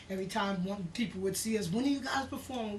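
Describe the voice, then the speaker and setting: Talking with a New York accent, a woman comes through with audible room echo. Noticeable background noise is present. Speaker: singer and actress. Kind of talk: interview. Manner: casual, animated.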